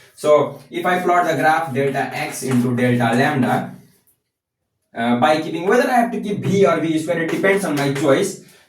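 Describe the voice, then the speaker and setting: Over audible room echo, a man speaks at a moderate pace in a fairly high pitch with lively intonation. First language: not English. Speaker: physics content creator. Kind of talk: tutorial. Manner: halting.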